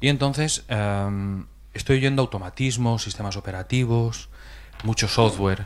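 In a plain, everyday voice, a man speaks at a fairly slow pace with a fairly low pitch and ordinary pitch variation. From Spain, Alicante province. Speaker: audience member. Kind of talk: audience question. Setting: stage with audience.

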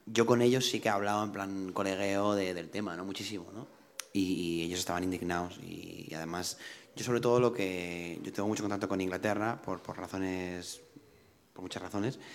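A man's very deep, low voice at a moderate pace, with big swings in loudness and fairly even intonation. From Spain. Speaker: singer-songwriter. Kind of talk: casual chat. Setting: studio.

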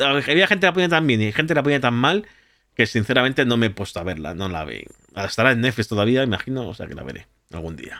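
A man's medium-pitched voice in a Spanish accent, very fast, with vocal fry, a bright, sharp tone, big swings in loudness and very wide pitch swings, on a very clean recording with a silent background. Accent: Spanish (Spain). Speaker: podcast host and streamer. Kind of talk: casual chat.

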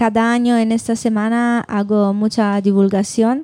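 The speaker is a woman with an Italian accent. Her tone is dark and mellow. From Italy. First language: Italian (speaking Spanish). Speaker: doctoral researcher. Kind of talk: live panel discussion. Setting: bar with live audience.

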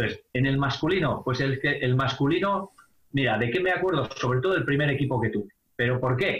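In a normal speaking voice, a man talks at a fairly quick pace with a fairly high pitch, ordinary pitch variation and very even loudness. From Spain, Palencia (Castilla y León). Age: 50s. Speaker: basketball coach and high school teacher. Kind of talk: interview.

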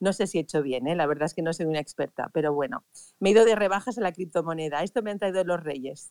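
On a dry, close sound with no echo, a woman with a fairly low pitch and ordinary pitch variation talks at a very fast pace. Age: 50s. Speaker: event organizer. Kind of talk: casual chat.

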